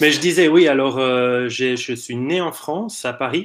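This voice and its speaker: A man with a Swiss accent speaks at a fairly slow pace on a very clean recording with a silent background. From Italy. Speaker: interview guest. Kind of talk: personal testimony.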